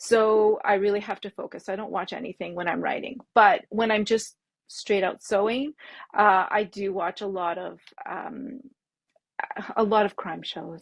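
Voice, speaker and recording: A woman's medium-pitched voice with a French accent and big swings in loudness. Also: fairly even intonation, fairly slow pace. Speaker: bag pattern designer. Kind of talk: interview. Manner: halting.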